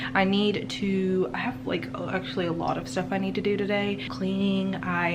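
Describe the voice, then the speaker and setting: Noticeable background noise accompanies speech that carries audible room echo. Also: woman. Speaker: teacher and vlogger. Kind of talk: vlog narration. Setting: at home. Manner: quiet, hushed; casual, filler-heavy.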